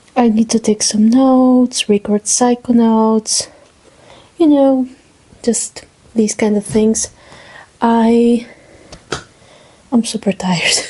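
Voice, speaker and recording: A woman with a non-native accent speaks at a very slow pace, with long, frequent pauses. Her fairly high pitch carries fairly even intonation and very even loudness. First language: not English. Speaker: student vlogger. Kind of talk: casual vlog monologue.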